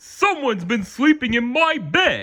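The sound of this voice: At a moderate pace, the speaker uses a put-on character voice. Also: man.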